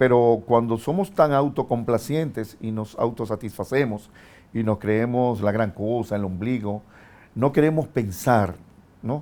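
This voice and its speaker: In a Dominican accent, the speech moves at a moderate pace on a very clean recording with a silent background. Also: man. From Dominican Republic. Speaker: philosopher and university professor. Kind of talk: interview answer.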